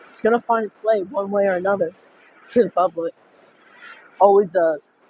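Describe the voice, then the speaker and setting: Against noticeable background noise, a man speaks high-pitched at a moderate pace with fairly even intonation and big swings in loudness, the sound dry and close with no echo. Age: 20s. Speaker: vlogger. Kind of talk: casual chat. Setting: outdoors near the ocean. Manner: spontaneous, blurts out.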